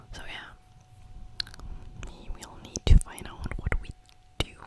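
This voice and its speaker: Background noise is clearly noticeable. The speaker whispers fairly slowly. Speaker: ASMR creator. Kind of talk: ASMR mic test, casual talk. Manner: whispered, close to the mic.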